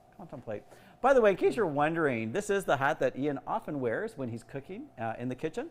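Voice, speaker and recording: The voice is loud and very fast, with very wide pitch swings. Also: man, fairly high pitch for a man. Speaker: youth organization executive director. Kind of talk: casual cooking livestream. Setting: kitchen livestream.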